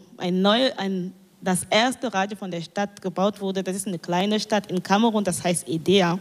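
A woman's voice at a medium pitch. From Cameroon. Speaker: community radio journalist. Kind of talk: panel discussion. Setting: live stage panel broadcast on radio.

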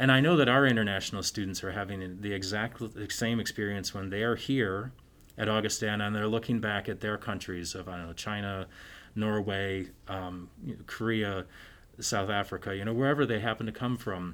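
In an Upper Midwest accent, a man talks at a fairly low pitch with fairly even intonation, captured on a very clean recording against a silent background. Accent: Upper Midwest American. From US Midwest, Minnesota. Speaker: English professor and writer. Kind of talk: interview.

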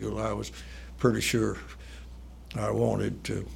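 A man talks with a North Carolina accent. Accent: Southern US (North Carolina). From US South, southeastern North Carolina. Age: 80s+. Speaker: retired urologist. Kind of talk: oral history interview.

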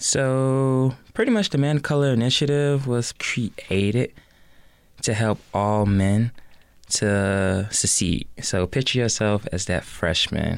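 In an American accent, a man at medium pitch speaks at a very slow pace. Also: ordinary pitch variation, very even loudness. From US Midwest, south side of Chicago. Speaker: recent university graduate, student leader. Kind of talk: radio interview.

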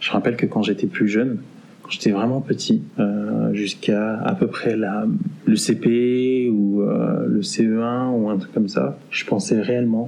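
Noticeable background noise surrounds the speech. The voice moves at a fairly slow pace with fairly even intonation. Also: man. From Paris region, France. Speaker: interviewee sharing experiences. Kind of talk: testimony.

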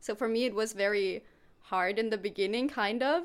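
On a very clean recording with a silent background, a woman with a German accent speaks at a moderate pace in a fairly high pitch. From Germany. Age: 20s. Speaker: volunteer on a farm. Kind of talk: casual interview. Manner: laughs often.

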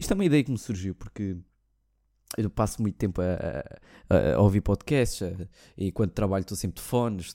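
A man with a European Portuguese accent speaks at a fairly quick pace in a fairly low pitch, his dark, mellow tone edged with vocal fry and his pitch varying in an ordinary way, on a very clean recording with a silent background and a dry, close sound with no echo. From Portugal. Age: 20s. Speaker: podcast host. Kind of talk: casual monologue.

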